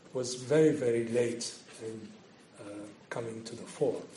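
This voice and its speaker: The speech moves at a fairly slow pace with ordinary pitch variation, audible room echo, and noticeable background noise. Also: man. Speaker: historian and visiting professor. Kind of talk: lecture. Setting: lecture hall with audience. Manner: halting, many fillers.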